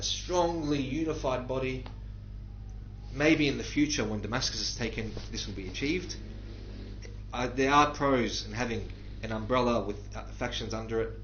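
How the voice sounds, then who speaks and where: With an Australian accent, a man speaks at a moderate pace with long, frequent pauses, amid audible room echo and noticeable background noise. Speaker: livestreamer answering viewer questions. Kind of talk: live Q&A stream. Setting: live stream from a war zone. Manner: halting, with many fillers.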